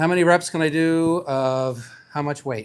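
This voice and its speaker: A man talks in a plain, everyday voice. His pitch is fairly high, with ordinary pitch variation. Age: 60s. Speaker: fitness vlogger. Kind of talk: casual vlog narration. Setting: gym. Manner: casual, chatty.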